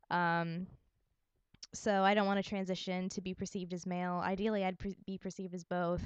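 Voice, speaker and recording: A woman in an American accent, flat and monotone, at a fairly quick pace, with a dry, close sound and no echo. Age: 20s. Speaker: vlogger. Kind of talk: casual chat. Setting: at home. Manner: hesitant.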